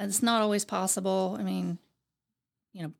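With an American accent, a woman talks at a medium pitch. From Ohio, US Midwest. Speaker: firefighter's wife, retired public servant. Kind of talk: interview.

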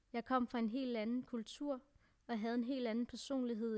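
A woman talks at a moderate pace in an unremarkable speaking voice with fairly even intonation. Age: 20s. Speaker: adoptee sharing personal story. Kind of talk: personal testimony.

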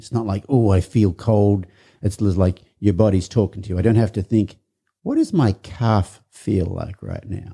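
The voice has an Australian accent, a dark, mellow tone and a somewhat breathy quality. Intonation stays fairly even, and the sound is dry and close with no echo. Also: man, fairly low pitch for a man. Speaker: podcast host.

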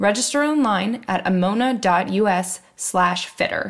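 An unremarkable speaking voice from a woman, medium in pitch, with ordinary pitch variation. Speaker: podcast co-host and marketing specialist. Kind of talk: podcast interview.

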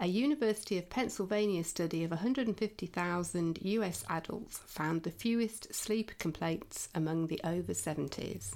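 A woman with an English accent, fairly low-pitched, fairly slow, with lively intonation and very even loudness. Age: 50s. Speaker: podcast host. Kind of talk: casual chat; reading aloud.

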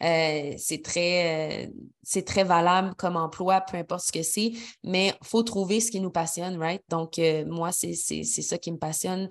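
Speaking very slowly in a Quebec accent, a woman keeps a fairly low pitch and fairly even intonation over a quiet background. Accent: Québécois French. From Quebec City, Quebec. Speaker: podcast host. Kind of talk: casual solo podcast monologue.

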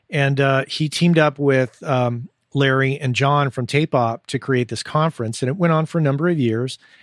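In a dry, close sound with no echo, a man with an American accent uses a normal speaking voice at a fairly high pitch, with fairly even intonation and a moderate pace. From US Southwest (southern New Mexico). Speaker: audio engineer and podcast host. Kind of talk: casual interview. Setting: Skype call.

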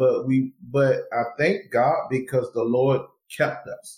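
This man's voice sits at a medium pitch. It has a somewhat breathy quality. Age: 40s. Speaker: youth pastor and university administrator. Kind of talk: casual interview.

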